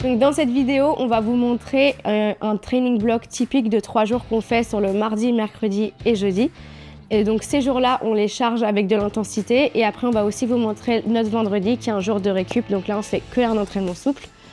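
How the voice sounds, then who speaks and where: A woman's fairly high voice at a moderate pace, very even in loudness and fairly even in intonation, with music in the background. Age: 20s. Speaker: professional triathlete vlogger. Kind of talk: vlog introduction.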